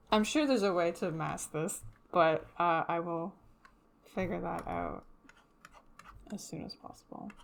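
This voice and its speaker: Leaving long, frequent pauses, a woman speaks at a fairly slow pace. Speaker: streamer and 3D artist. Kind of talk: casual livestream chat.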